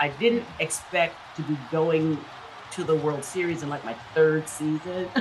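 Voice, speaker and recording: A woman's very deep, low voice at a fairly slow pace, ordinary pitch variation, and noticeable background noise. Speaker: stadium public address announcer and former radio personality. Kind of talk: interview answer. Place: home room. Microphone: webcam.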